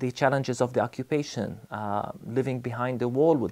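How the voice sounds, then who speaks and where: With an Arabic accent, the speaker moves at a fairly quick pace and keeps the intonation fairly even. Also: man. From Palestine (Bethlehem); Palestine. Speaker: pastor and theology college dean. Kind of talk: recorded testimony to camera; interview answer. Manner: measured, with frequent fillers. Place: studio.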